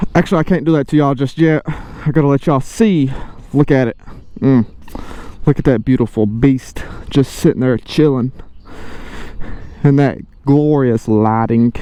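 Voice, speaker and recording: A man with a fairly high voice talks at a moderate pace in a relaxed tone, with ordinary pitch variation, long, frequent pauses and noticeable background noise. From eastern Kentucky, small town. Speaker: motorcycle vlogger. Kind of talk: casual vlog talk. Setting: outdoors with motorcycle. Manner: relaxed, laid-back.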